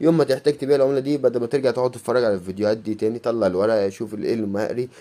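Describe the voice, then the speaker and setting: Dark, mellow male tone with ordinary pitch variation. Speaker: YouTuber, coin collector. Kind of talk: casual vlog monologue. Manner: fast.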